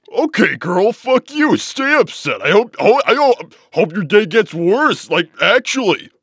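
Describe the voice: A man's cartoonish character voice, high in pitch with big pitch swings, a fairly bright tone, a slightly husky edge and a fairly slow pace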